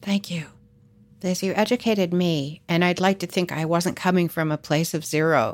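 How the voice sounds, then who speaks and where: A woman with an ordinary speaking voice, fairly low in pitch, at a moderate pace with fairly even intonation. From Canada. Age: 60s. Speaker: podcast host. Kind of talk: interview.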